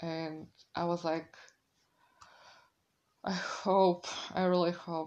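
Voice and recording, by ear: A woman speaks with a fairly low pitch and little pitch movement. Her tone is slightly mellow.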